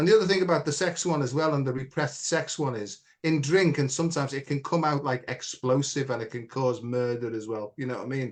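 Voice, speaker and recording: A very fast-talking man with a fairly high pitch, ordinary pitch variation and hardly any pauses. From Ireland. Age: 60s. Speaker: spiritual teacher. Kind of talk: casual chat.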